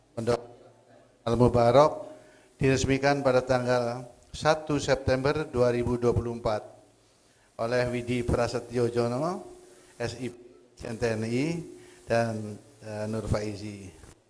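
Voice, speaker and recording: With noticeable background noise behind him, a man speaks very slowly at a medium pitch with fairly even intonation and long, frequent pauses. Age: 70s. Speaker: dignitary inaugurating a mosque. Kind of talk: ceremonial speech.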